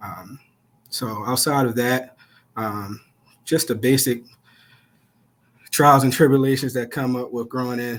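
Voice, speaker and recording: A man with a Baltimore accent, medium pitch, a fairly slow pace, long and frequent pauses, and big swings in loudness. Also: fairly even intonation. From Baltimore, Maryland. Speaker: police officer and nonprofit founder. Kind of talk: interview.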